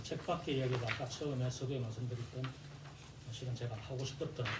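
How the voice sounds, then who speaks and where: A man talks in a strong Gyeongsang accent, with audible room echo and noticeable background noise. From South Korea, Gyeongsang (Jinju). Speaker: presenter at academic seminar. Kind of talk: seminar presentation. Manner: hesitant, many fillers.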